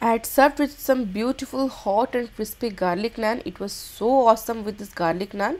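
Here a woman speaks in an Indian accent at a fairly high pitch. Her pace is moderate, with ordinary pitch variation. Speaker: cooking channel host. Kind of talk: cooking tutorial. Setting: kitchen. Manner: animated, enthusiastic.

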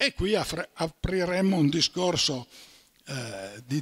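A man speaks in a somewhat breathy voice. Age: 80s+. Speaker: doctor; conference speaker. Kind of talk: lecture. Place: hall. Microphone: handheld.

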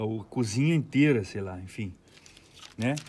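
A man is talking. His pitch makes very wide swings. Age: 40s. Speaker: recording studio owner and producer. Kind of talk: studio tour tutorial. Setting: recording studio. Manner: casual, slangy. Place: studio. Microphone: phone near.

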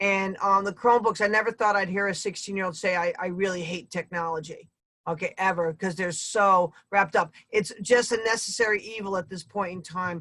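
A woman at a medium pitch has a bright, sharp tone, moving at a fairly quick pace with hardly any pauses and fairly even intonation. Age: 60s. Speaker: teacher and school committee candidate. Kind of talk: candidate forum. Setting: video call.

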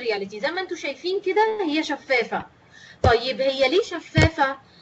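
Lively, high-pitched female speech at a moderate pace with noticeable background noise. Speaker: teacher trainer. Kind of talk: online lecture.

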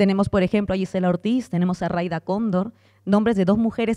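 Against a quiet background, the voice has a dark, mellow tone. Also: woman. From Peru. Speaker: political party educator. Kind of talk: panel discussion. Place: hall. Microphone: handheld.

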